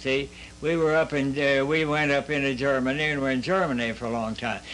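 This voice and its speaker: With an American accent, the speaker keeps a fairly even intonation while noticeable background noise runs underneath. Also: man, fairly high pitch for a man. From US Midwest, southwest Ohio. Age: 80s+. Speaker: war veteran. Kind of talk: interview. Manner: halting.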